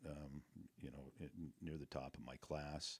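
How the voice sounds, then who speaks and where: Very deep, low male voice with vocal fry and a western US accent, fairly slow in pace, in a dry, close sound with no echo. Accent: western American. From Montana. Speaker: real estate broker. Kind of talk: interview answer. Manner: casual, humorous.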